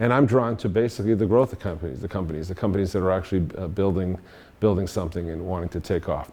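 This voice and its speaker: Very deep and low in pitch, a man with a Boston accent speaks at a very fast pace with ordinary pitch variation. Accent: Boston accent, mostly retained. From Boston area, US Northeast. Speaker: engineer and industry veteran speaker. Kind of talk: career talk to students. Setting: meetup audience at a university. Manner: casual, with frequent fillers and restarts.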